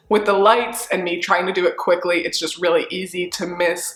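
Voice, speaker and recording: Over noticeable background noise, a woman of medium pitch speaks at a fairly quick pace in an animated tone. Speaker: fashion reseller vlogger. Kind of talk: casual haul review vlog. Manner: chatty, animated.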